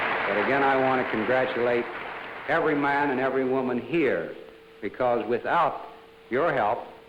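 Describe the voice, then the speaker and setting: A man at medium pitch and moderate pace, very even in loudness, with long, frequent pauses and noticeable background noise. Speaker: company president. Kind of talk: award ceremony speech.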